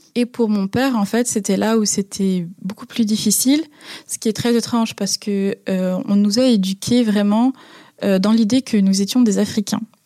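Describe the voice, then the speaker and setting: A woman speaks at a moderate pace in a dark, mellow tone and medium pitch, with fairly even intonation. The sound is dry and close, with no echo. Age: 20s. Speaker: interviewee sharing personal story. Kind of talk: personal testimony. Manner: hesitant, some fillers.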